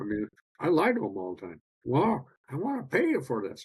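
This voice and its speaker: Somewhat breathy, a man at medium pitch speaks with very wide pitch swings. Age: 60s. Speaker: biological dentist. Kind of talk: podcast interview.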